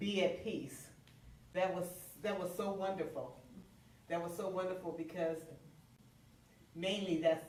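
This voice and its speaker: A woman with a fairly low pitch pauses long and often, her intonation fairly even, and the room's echo is audible. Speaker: minister. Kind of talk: sermon. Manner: loud.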